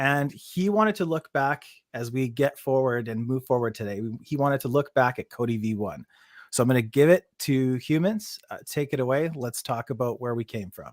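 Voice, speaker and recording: In a dry, close recording with no echo, a man talks in a normal speaking voice, medium in pitch, with lively intonation. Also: moderate pace, very clean recording, silent background. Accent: Canadian. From Canada. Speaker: podcast host. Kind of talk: casual chat. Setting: live stream.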